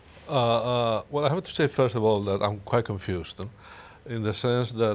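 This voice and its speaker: With a Spanish accent, a man speaks using ordinary pitch variation. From Spain. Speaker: security strategist. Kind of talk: panel discussion. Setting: studio.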